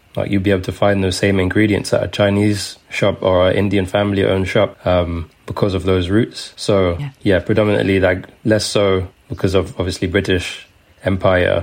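In a London accent, a man speaks at a moderate pace with a very deep, low pitch and monotone, flat intonation. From London, England. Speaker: food writer. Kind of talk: interview.

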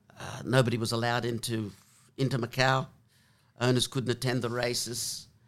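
A man with an Australian accent, fairly quick yet broken by long, frequent pauses, in a monotone, flat intonation. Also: medium pitch for a man. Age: 70s. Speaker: former jockey and racehorse trainer. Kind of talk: interview conversation. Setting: in person in the room. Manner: hesitant, many filler words.

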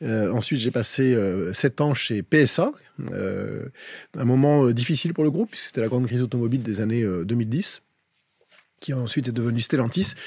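At a moderate pace, a man with an ordinary speaking voice talks at a medium pitch that varies in an ordinary way. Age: 50s. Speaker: HR director. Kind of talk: casual chat.

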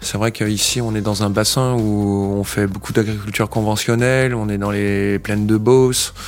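This man speaks at a moderate pace with hardly any pauses, his pitch fairly low and his intonation monotone and flat. Noticeable background noise runs behind him. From France, Essonne (Île-de-France). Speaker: organic farmer. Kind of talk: interview. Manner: halting.

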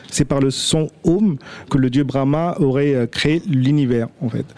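A man's fairly high-pitched voice with ordinary pitch variation, amid noticeable background noise. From India. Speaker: restaurant manager. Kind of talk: radio panel discussion.

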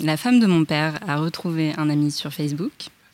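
A woman speaks with a very deep, low pitch and ordinary pitch variation. Noticeable background noise runs behind her. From Paris, France. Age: 30s. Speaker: talent agent. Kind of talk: casual chat. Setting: studio under a glass roof.

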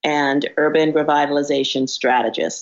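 Here is a woman with a New York accent and a very deep, low pitch. She talks at a moderate pace with ordinary pitch variation. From New York, South Bronx. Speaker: real estate developer and urban revitalization strategist. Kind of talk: interview conversation.

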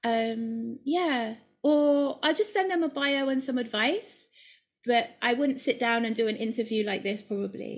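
On a very clean recording with a silent background, a woman speaks at a high pitch. Her pace is fairly slow and her pitch variation ordinary. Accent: British. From UK. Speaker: collage artist. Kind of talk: casual interview.

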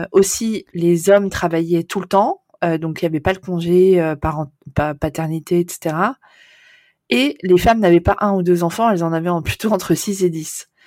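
A woman with a fairly low pitch and a dark, mellow tone speaks at a fairly slow pace with ordinary pitch variation. The sound is dry and close with no echo, on a very clean recording with a silent background. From Netherlands (Amsterdam), French. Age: 40s. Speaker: postnatal maternity carer. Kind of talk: interview. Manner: hesitant, many fillers.

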